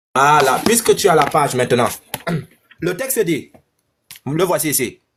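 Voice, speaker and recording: Speaking at a fairly slow pace in a Cameroonian accent, a man uses a fairly high pitch, an animated tone and very wide pitch swings. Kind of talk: heated debate.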